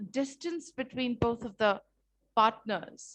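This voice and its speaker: A woman at a fairly slow pace, with lively intonation. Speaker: teacher. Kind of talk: online lecture. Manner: slow, repetitive.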